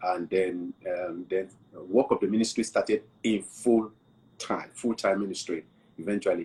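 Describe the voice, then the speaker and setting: At a moderate pace, a man speaks with a Nigerian accent. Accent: Nigerian (Yoruba) English. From southwest Nigeria. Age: 60s. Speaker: pastor. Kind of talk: interview.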